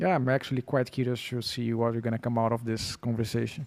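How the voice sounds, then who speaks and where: A man talks with a Portuguese accent at medium pitch. His intonation is monotone and flat, at a moderate pace. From Brazil. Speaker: podcast guest. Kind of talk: casual chat.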